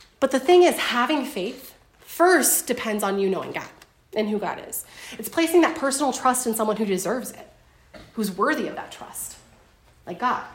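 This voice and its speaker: A woman with a high voice and lively intonation speaks at a moderate pace, with long, frequent pauses. Noticeable background noise runs beneath her. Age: 30s. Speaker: co-leader of a Bible study teaching. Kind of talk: Bible study teaching.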